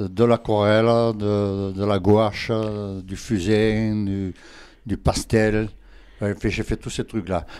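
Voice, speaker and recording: A man speaks at a fairly low pitch. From Provence, southern France (Berre-l'Étang). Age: 80s+. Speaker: retired draughtsman and local artist. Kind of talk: radio interview.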